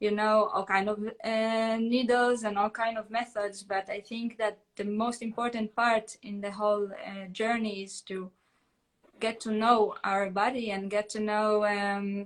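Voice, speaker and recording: Fairly high and monotone, a woman talks with flat intonation and an Israeli accent. Her pace is fairly slow. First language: Hebrew. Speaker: holistic therapist. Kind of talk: casual chat. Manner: halting.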